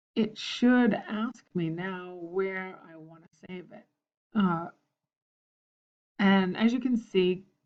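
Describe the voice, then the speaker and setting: This woman talks at a medium pitch and a very slow pace, with ordinary pitch variation. Her loudness swings widely, and she leaves long, frequent pauses. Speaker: teacher. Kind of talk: tutorial. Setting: screencast. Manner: halting.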